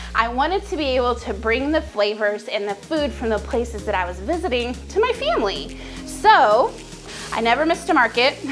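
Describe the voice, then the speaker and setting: Clear music plays behind a woman with an American accent. She talks at a fairly quick pace. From Southern US, Texas. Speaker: home cook. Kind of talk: casual talk to camera, cooking channel intro. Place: kitchen.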